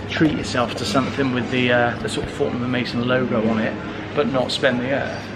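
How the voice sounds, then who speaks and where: A medium-pitched man talking at a fairly quick pace, with noticeable background noise and audible room echo. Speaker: travel vlogger. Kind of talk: casual vlog narration. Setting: outdoors. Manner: chatty.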